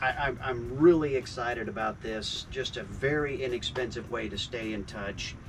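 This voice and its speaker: Against clear music in the background, a man speaks at a moderate pace with ordinary pitch variation and hardly any pauses. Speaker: sailing vlogger. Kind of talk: casual vlog chat. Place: boat. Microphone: camera far.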